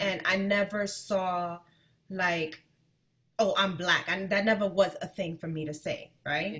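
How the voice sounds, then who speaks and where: Speaking with an American accent, a woman with a medium pitch and a bright, sharp tone keeps a fairly even intonation at a fairly slow pace. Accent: New York accent with Spanish touch. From New York, Dominican family. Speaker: podcast co-host. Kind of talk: casual chat.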